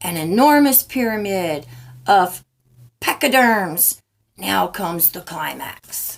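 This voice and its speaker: A woman speaks at a fairly slow pace in a raspy, put-on character voice, her medium pitch making very wide swings. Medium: read story.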